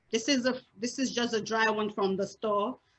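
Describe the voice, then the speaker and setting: A woman speaks with a Nigerian accent. Her pitch is fairly high, with ordinary pitch variation. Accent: Nigerian (Yoruba) English. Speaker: cooking instructor. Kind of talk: cooking class demonstration.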